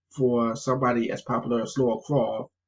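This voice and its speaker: Vocal fry runs through the voice. The intonation is monotone and flat. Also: man. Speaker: gaming youtuber. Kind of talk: video game review vlog. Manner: stuttering, halting.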